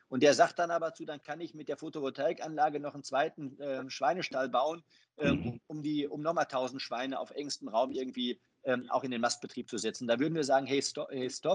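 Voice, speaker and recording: A man with a plain, everyday voice, fairly high in pitch, talks at a fairly quick pace with fairly even intonation and big swings in loudness over a quiet background. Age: 40s. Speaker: banker. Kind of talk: interview.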